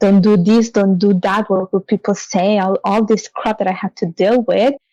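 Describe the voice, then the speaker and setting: A woman speaks at a medium pitch with a dark, mellow tone, her sound dry and close with no echo over a quiet background. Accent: Italian. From Italy. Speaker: financial services leader and author. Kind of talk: interview.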